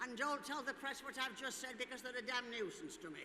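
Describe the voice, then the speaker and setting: In a raised, projected voice with a bright, sharp tone, the speaker moves at a moderate pace. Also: woman. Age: 80s+. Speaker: former dancer and event speaker. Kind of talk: speech to audience. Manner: animated.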